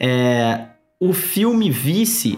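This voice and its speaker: A man talks with a Rio de Janeiro accent while music plays in the background. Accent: carioca. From Brazil, Rio de Janeiro. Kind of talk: casual chat.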